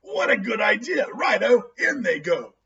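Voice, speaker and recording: A man's raspy, sing-song put-on character voice at a moderate pace. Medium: read story. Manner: gleeful, singsong.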